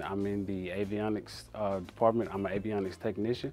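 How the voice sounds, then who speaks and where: Faint music sits behind a man talking at a fairly quick pace. His intonation is monotone and flat. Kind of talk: workplace walkthrough interview. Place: workshop. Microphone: lapel.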